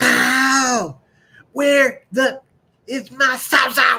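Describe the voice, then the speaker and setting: A put-on character voice, pitched high, delivers the lines. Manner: irritated, gruff.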